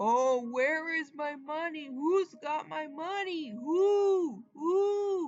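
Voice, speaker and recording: In a put-on character voice, the speaker uses a high pitch and a very slow pace with hardly any pauses. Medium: read story. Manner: crying, repetitive wailing.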